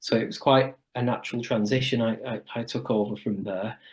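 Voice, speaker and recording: Against a quiet background, a speaker with a northern English accent talks at a moderate pace with fairly even intonation. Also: man. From northern England, Wigan. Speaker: chiropractor. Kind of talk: podcast interview. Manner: hesitant, with fillers.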